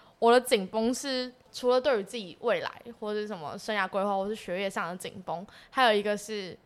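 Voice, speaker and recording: A woman with a plain, everyday voice speaks at a moderate pace. Her pitch is fairly high, with lively intonation. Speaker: exchange student. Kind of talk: casual chat.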